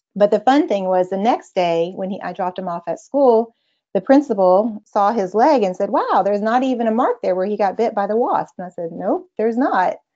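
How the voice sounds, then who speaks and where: This woman talks with lively intonation in a Texan accent. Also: medium pitch for a woman, fairly quick pace. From Texas. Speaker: mother sharing homeopathy experience. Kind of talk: casual interview chat.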